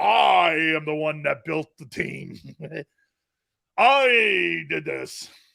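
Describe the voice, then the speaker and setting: A man puts on a character voice, fairly high-pitched, speaking at a very slow pace with long, frequent pauses. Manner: boastful, self-important.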